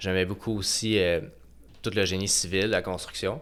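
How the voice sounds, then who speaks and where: Moving at a moderate pace, this man's voice is very deep and low in pitch. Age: 30s. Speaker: construction project manager. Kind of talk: podcast interview. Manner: halting.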